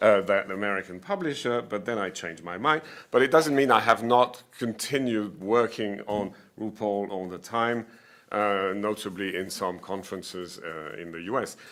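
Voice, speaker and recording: Intonation here is lively. The pace is moderate. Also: man. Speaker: professor. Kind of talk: conference presentation. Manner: halting. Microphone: poor quality.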